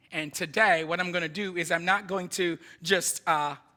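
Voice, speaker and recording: A man speaks with a bright, sharp tone. His pitch sits high. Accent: slight Jamaican. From Jamaica, Kingston. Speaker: missionary preacher. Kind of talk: sermon. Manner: animated.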